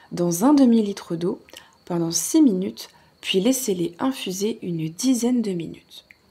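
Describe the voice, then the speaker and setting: At a very slow pace, a woman speaks with a somewhat breathy, dark and mellow voice at a medium pitch and with lively intonation. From Alsace, France. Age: 30s. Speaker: ASMR creator. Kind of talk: ASMR book reading. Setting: relaxed at home in a hammock, birds and crickets in background. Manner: soft-spoken, relaxed.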